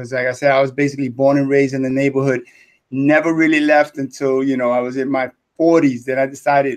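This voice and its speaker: Talking very fast with a New York accent, a man keeps a fairly high pitch and a monotone, flat intonation. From New York City. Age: 60s. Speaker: retired teacher and business mentor. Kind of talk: live interview.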